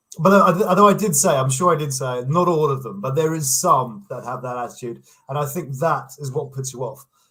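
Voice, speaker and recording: Speaking at a fairly quick pace with hardly any pauses, a man with a British accent and fairly high pitch shows ordinary pitch variation and big swings in loudness. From England. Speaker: online commentator, YouTuber. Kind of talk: casual interview chat. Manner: halting, repeats words.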